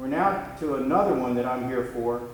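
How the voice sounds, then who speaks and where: A man's medium-pitched voice at a moderate pace, with ordinary pitch variation, noticeable background noise and audible room echo. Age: 50s. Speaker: defense attorney. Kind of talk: cross-examination at a hearing. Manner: confrontational.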